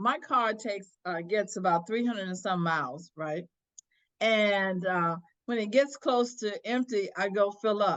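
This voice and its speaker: This woman has an ordinary speaking voice, pitched fairly high, with lively intonation. She talks at a moderate pace. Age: 60s. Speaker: attorney and former court clerk. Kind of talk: interview.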